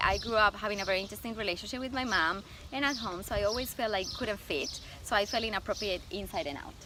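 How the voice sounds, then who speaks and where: A woman speaks at a very fast pace with a Colombian accent. Her pitch is fairly high. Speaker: stylist and image consultant. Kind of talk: interview.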